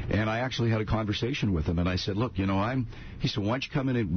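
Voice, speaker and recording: Very fast, somewhat breathy speech with lively intonation. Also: man. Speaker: retired radio morning host. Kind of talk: radio interview.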